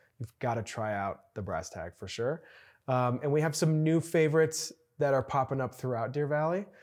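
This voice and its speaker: A man with an American accent and a normal speaking voice talks at a moderate pace, his fairly high pitch carrying lively intonation. The recording is very clean, with a silent background. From Chicago, US Midwest. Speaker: resort food and beverage executive. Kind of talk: casual interview.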